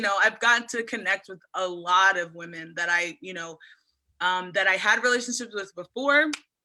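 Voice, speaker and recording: A woman with a Mid-Atlantic American accent and a bright, sharp tone, at a moderate pace with ordinary pitch variation, on a very clean recording with a silent background. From Eastern Shore of Maryland, USA. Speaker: oyster farmer. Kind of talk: interview answer. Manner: casual, enthusiastic.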